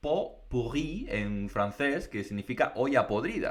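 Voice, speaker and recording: A man talks at a fairly slow pace. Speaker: podcast co-host, Spanish teacher. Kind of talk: casual chat. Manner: hesitant, many fillers.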